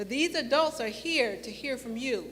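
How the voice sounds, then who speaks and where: A woman speaks at a fairly slow pace in a bright, sharp tone. Audible room echo surrounds her voice. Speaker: event moderator. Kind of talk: live panel event hosting. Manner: loud.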